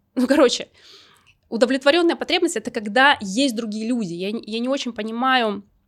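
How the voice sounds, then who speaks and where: A woman has an unremarkable speaking voice, with ordinary pitch variation at a moderate pace. The recording is very clean, with a silent background. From Russian Far East, Vladivostok. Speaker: podcast host. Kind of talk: solo podcast monologue. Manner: casual, with filler words.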